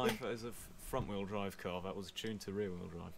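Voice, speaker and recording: A man speaks at a fairly low pitch. Light background noise can be heard. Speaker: gaming youtuber. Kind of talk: casual reaction video. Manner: self-deprecating, jokey. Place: home room. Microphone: headset.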